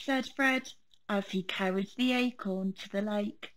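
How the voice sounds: Read in a natural voice, the lines carry ordinary pitch variation.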